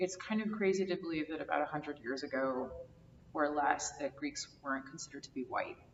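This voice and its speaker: A woman's very deep, low voice at a fairly quick pace, with ordinary pitch variation and noticeable background noise. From US Northeast, New Jersey. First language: Greek. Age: 30s. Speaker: oral history interviewee. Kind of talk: oral history interview.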